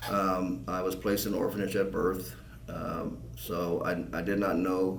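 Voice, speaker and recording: A man with an American accent and a very deep, low pitch speaks at a moderate pace with ordinary pitch variation, his voice carrying audible room echo. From Southern California desert (San Bernardino County). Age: 60s. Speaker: political candidate. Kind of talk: interview. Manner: halting.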